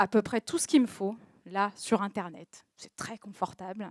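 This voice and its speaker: A woman of medium pitch speaks at a fairly slow pace with fairly even intonation, heard dry and close with no echo on a very clean recording with a silent background. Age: 30s. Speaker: social media agency owner, talk speaker. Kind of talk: personal testimony talk. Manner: hesitant, many fillers.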